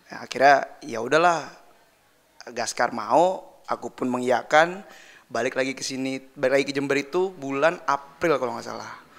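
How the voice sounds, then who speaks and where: Over noticeable background noise, a man talks at a moderate pace with ordinary pitch variation and big swings in loudness. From Jakarta, Indonesia. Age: 20s. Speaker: band drummer. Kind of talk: casual interview chat.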